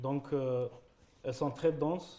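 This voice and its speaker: Here a man speaks at a moderate pace and medium pitch, his tone dark and mellow and his intonation monotone and flat. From Algeria. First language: French. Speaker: painter. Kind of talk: panel talk via interpreter. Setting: conference stage with audience.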